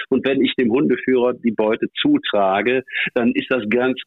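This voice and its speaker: With fairly even intonation, a man speaks in a normal speaking voice. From Rhineland, Eifel region, Germany. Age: 60s. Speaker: hunting dog handler and trial judge. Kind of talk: casual chat. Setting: phone call. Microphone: connection dropped twice.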